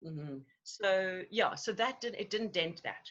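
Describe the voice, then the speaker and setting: A woman's voice with very wide pitch swings. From Zimbabwe. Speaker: actress and voice-over artist. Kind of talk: interview answer. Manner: lively, joyful.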